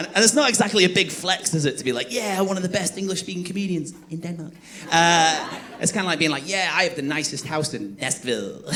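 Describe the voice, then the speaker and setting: A man talks at a very fast pace and a high pitch with lively intonation. Audible room echo and noticeable background noise surround his voice. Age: 30s. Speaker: stand-up comedian. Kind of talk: stand-up. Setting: stage with audience.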